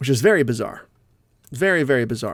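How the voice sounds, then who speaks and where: In a very clean recording with a silent background, a man talks at a fairly quick pace with a fairly high pitch and ordinary pitch variation. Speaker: horror podcast host. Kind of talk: casual solo podcast commentary. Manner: fast.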